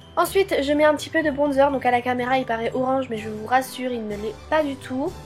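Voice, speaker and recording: With music in the background, a woman with a high voice talks at a fairly quick pace with ordinary pitch variation. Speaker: beauty vlogger. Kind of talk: casual voice-over for a makeup tutorial.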